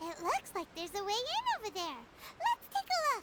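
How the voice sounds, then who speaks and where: Loud background noise surrounds a put-on character voice moving at a moderate pace. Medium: video game. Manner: bubbly, chatty.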